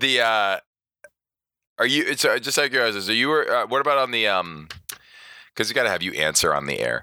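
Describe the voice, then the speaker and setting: A man speaks with a bright, sharp tone and vocal fry. The recording is very clean, with a silent background. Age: 40s. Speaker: podcast host and bodybuilding show emcee. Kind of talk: casual chat. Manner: animated.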